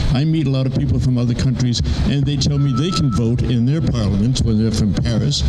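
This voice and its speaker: This man's voice sits at a medium pitch and carries lively intonation. Noticeable background noise and audible room echo fill the recording. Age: 80s+. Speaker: army veteran. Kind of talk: rally speech.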